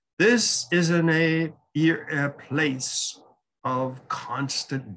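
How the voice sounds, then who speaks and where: A man's bright, sharp voice with ordinary pitch variation against a quiet background. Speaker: lecturer. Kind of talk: lecture. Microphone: webcam.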